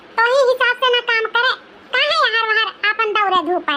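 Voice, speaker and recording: A woman does a cartoonish character voice at an extremely high pitch, with ordinary pitch variation. She speaks at a moderate pace over clear background noise. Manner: loud, scolding.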